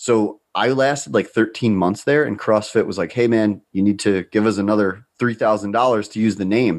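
Against a quiet background, a man with a fairly low voice talks at a moderate pace. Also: ordinary pitch variation, hardly any pauses. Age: 30s. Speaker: nutrition coaching company founder. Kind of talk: casual chat.

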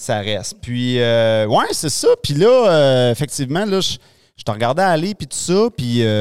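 A man with a Quebec accent and a medium pitch speaks at a very slow pace with hardly any pauses and very wide pitch swings. The recording is very clean, with a silent background. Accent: Québécois French. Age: 40s. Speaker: podcast host. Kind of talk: casual interview chat. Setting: studio. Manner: halting.

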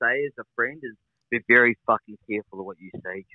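Medium pitch and fairly even intonation in a man's normal speaking voice. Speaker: participant. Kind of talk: casual chat.

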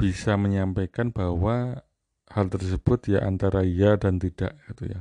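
A man talks at a fairly slow pace with fairly even intonation. The background is quiet, and the sound is dry and close with no echo. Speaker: university academic. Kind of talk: casual chat.

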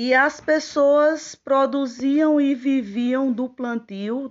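Very slowly, a woman with a Paraíba accent speaks in a high pitch with ordinary pitch variation. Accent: northeastern Brazilian Portuguese (Paraíba). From Paraíba, northeastern Brazil. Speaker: teacher. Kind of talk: personal testimony. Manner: formal.

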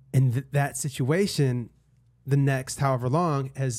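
In a very clean recording with a silent background, a man speaks at medium pitch in a somewhat breathy voice with fairly even intonation. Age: 30s. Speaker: podcast host. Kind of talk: casual chat. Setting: studio.

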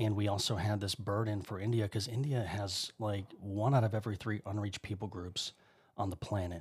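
A man speaks at a fairly low pitch, somewhat breathy, with fairly even intonation. The recording is very clean, with a silent background. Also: fairly quick pace. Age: 30s. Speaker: missionary. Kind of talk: casual chat. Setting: studio.

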